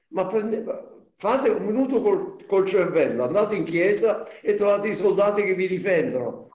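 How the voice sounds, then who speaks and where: A man with a high pitch talks at a moderate pace. Audible room echo surrounds the voice. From Naples, Italy; Italy. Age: 80s+. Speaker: Holocaust survivor witness; witness. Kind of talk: testimony. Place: home room. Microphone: video call.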